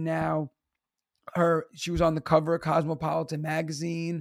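Here a man speaks with a New York accent. His voice is high-pitched and his tone animated. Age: 30s. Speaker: teacher and stand-up comedian. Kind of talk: casual chat.

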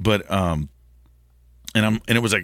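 On a very clean recording with a silent background, a man with an American accent talks at medium pitch in a bright, sharp tone with vocal fry and ordinary pitch variation. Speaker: podcast host. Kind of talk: casual interview chat. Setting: studio.

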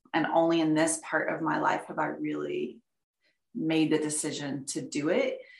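There is audible room echo as a woman with an American accent talks at a moderate pace. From Texas, near Dallas. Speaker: painter. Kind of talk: interview.

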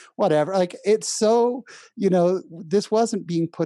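A man speaks with a dark, mellow tone over a quiet background. The sound is dry and close, with no echo. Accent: American. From California (San Jose). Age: 40s. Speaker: comedian and podcaster. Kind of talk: interview, personal testimony.

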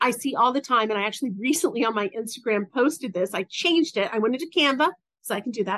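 A woman has a plain, everyday voice with an American accent and fairly high pitch. She talks at a fairly quick pace with lively intonation. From US South. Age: 50s. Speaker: business coach for women entrepreneurs. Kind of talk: interview, personal story.

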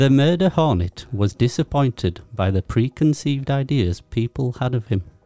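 The sound is dry and close, with no echo. A man with a dark, mellow tone talks at a moderate pace with hardly any pauses. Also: medium pitch for a man. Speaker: podcast co-host. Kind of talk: casual chat.

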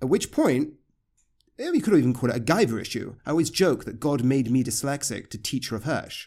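A man's fairly high voice, fairly quick pace and lively intonation. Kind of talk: interview conversation. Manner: quiet, soft-spoken teaching style; halting, self-interrupting.

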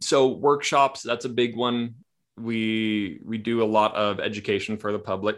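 A man with an ordinary speaking voice, medium pitch, and fairly even intonation at a fairly slow pace, on a very clean recording with a silent background. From Kamloops, British Columbia, Canada. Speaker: trauma therapist. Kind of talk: interview, casual conversation.

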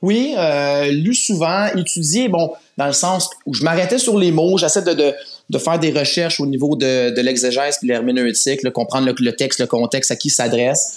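A man's fairly high voice at a moderate pace, with lively intonation, very even loudness and noticeable background noise. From Quebec, Laval area. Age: 40s. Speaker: volunteer Bible narrator, project manager. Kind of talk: interview. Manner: halting, many fillers.

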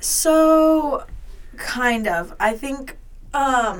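With an American accent, a woman speaks with ordinary pitch variation amid audible room echo. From US South, Georgia. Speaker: college student athlete. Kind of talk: casual interview chat.

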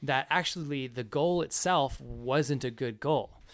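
In a very clean recording with a silent background, a man talks in an ordinary speaking voice, fairly high in pitch with lively intonation. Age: 20s. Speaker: podcast host. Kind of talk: casual book discussion.

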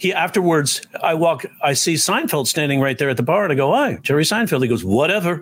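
Talking at a fairly quick pace with hardly any pauses, a man with a New York accent has a fairly high pitch, lively intonation, an animated tone and very even loudness, over noticeable background noise. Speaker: comedian. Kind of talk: casual chat.

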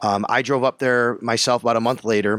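A very clean recording with a silent background and a dry, close sound free of echo. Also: man. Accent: Western New York. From Buffalo, Western New York. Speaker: sports radio reporter. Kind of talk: interview. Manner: animated.

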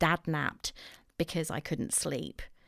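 Someone with an English accent speaks on a very clean recording with a silent background. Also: woman. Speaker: podcast host. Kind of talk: solo podcast monologue, casual. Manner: chatty, self-deprecating.

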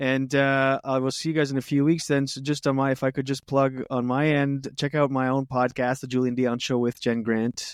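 In a French Canadian accent, a man speaks at a fairly quick pace and medium pitch, the sound dry and close with no echo. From Canada, French-speaking. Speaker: comedian and show producer. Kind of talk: casual chat. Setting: video call. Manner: loud.

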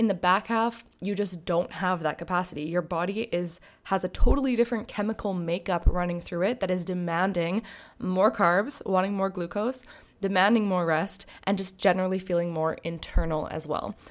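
The background is silent, and the recording is very clean. An unremarkable speaking voice keeps a moderate pace and ordinary pitch variation. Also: woman, medium pitch for a woman. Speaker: podcast host and mentor. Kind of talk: solo monologue podcast.

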